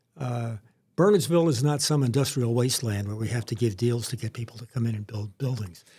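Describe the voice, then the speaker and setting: With a somewhat breathy voice, a man speaks at a fairly quick pace with ordinary pitch variation. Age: 70s. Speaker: local council candidate. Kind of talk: casual political podcast discussion. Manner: hesitant, frequent fillers.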